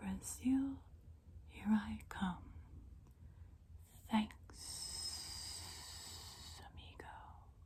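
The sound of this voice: Over light background noise, a woman uses a raspy, hissing put-on character voice at a very slow pace with long, frequent pauses.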